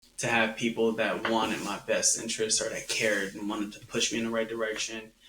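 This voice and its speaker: Loud and bright, a man speaks in a sharp tone. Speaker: real estate agent. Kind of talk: casual chat.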